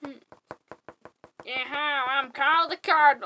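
It's a cartoonish character voice pitched high. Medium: puppet.

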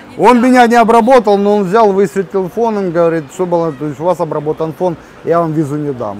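A man speaks in a high pitch with lively intonation. The sound is dry with no echo, over light background noise. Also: fairly quick pace. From Ukraine. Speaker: travel vlogger. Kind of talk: casual chat. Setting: outdoors. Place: cafe. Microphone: camera far.

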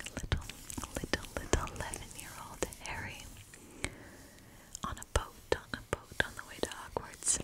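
Whispering and soft-spoken, a woman talks at a fairly slow pace in a dry sound with no echo, over noticeable background noise. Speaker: ASMR creator. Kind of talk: soft-spoken ASMR show-and-tell. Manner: soft close-mic ASMR whisper. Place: home room. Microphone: studio mic.

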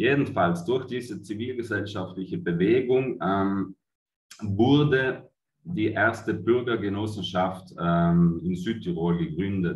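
Amid audible room echo but a quiet background, a man speaks at a very slow pace and fairly low pitch, somewhat breathy, with long, frequent pauses. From Italy. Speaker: cooperative managing director. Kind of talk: conference presentation. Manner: hesitant, many fillers. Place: home room. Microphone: webcam.

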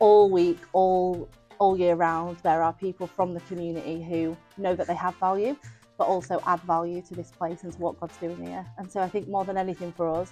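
A woman speaks with a fairly low pitch, fairly even intonation, and a fairly quick pace while faint music plays in the background. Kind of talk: interview answer. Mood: warm, earnest. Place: street. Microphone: lapel.

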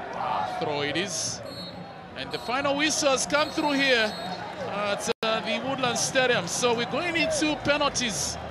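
A man uses a raised, projected voice at an extremely high pitch with very wide pitch swings. He talks at a fairly slow pace in a dry sound with no echo, over loud background noise. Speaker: football commentator. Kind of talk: live football play-by-play commentary. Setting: stadium commentary position. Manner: bursts of excitement at saves and goals. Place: stadium.

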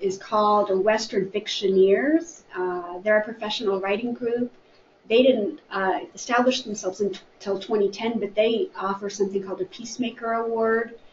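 A woman with an American accent speaks at a fairly high pitch, with audible room echo and light background noise. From US Midwest. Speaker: library staff member. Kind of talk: book discussion. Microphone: webcam.

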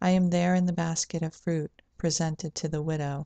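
A woman speaks at a fairly slow pace with a very deep, low pitch and a dark, mellow tone. Her intonation is flat and monotone, and the sound is dry with no echo against a quiet background. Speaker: poet and video channel host. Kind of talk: poetry reading, read aloud from a page. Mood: calm, gentle, reflective. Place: home room. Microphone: webcam.

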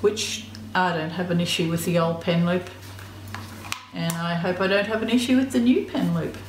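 A woman with an Australian accent speaks at a medium pitch with lively intonation. Audible room echo and light background noise are present. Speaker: YouTuber. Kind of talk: unboxing video. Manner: casual. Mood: pleased, appreciative. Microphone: phone near.

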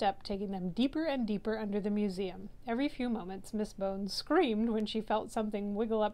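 The passage is being read aloud in a natural voice.

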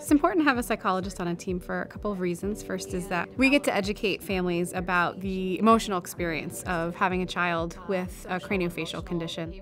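A woman talking at a very fast pace with ordinary pitch variation over clear music in the background. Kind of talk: interview answer. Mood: warm, earnest. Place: studio. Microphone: lapel.

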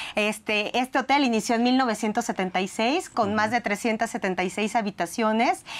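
This woman has a fairly high pitch with ordinary pitch variation. She speaks at a very slow pace and at a very even loudness. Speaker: resort company executive. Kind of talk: interview. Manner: enthusiastic. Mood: warm, upbeat. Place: studio. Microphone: lapel.

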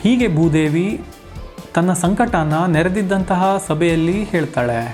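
A man's high-pitched voice is heard while music plays behind him. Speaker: narrator, journalist, actor and voice-over artist. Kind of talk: mythological storytelling narration.

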